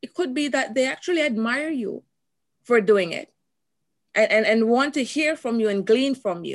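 Speaking at a moderate pace, a woman with a Jamaican accent uses a high pitch and lively intonation. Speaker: motivational speaker and coach. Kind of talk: interview.

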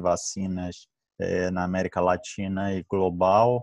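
Against a quiet background with a dry, close sound and no echo, a man speaks at a very deep, low pitch with monotone, flat intonation. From Rio de Janeiro, Brazil. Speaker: infectious disease physician. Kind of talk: online panel discussion.

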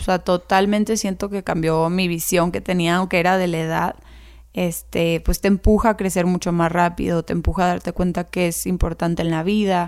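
A woman with a Mexican accent speaks at a moderate pace and a fairly low pitch. Her intonation is monotone and flat, and the recording is very clean with a silent background. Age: 20s. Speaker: teacher. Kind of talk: interview.

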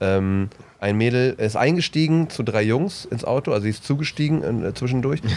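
A man with a plain, everyday voice, medium pitch, lively intonation, very even loudness and a moderate pace. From East Westphalia, Bielefeld. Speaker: comedian, podcast co-host. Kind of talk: casual chat.

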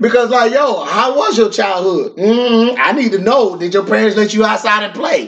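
Over noticeable background noise, a man with a high pitch speaks at a moderate pace with hardly any pauses and ordinary pitch variation. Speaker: podcast co-host, prays. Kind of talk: prayer and casual chat.

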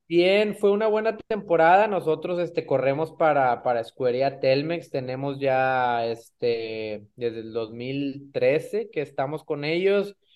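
A man with an ordinary speaking voice talks at a fairly slow pace in a fairly high pitch, with hardly any pauses. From Mexico, Monterrey. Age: 30s. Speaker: racing driver. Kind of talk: interview.

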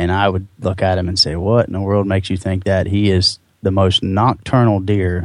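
Fairly low male voice with an American accent, a moderate pace and hardly any pauses. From central Ohio, south of Columbus. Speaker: deer hunter. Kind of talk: interview storytelling. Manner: casual with filler words.

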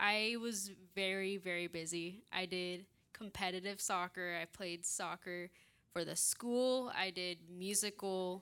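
The speaker talks at a fairly slow pace with an American accent. The tone is bright and sharp. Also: woman, medium pitch for a woman. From Redding, California. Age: 20s. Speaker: ministry student. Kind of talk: testimony.

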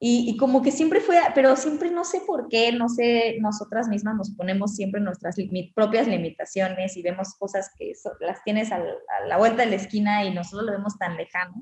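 A woman at a fairly high pitch, with lively intonation and a moderate pace. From Mexico, Cancún. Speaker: underwater photographer and filmmaker. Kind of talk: interview. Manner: halting, many fillers.

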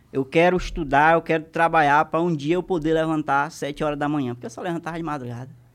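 A man's fairly high voice at a very fast pace with hardly any pauses and fairly even intonation, in a very clean recording over a silent background. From Maranhão, Brazil. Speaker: comedy content creator. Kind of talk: casual chat.

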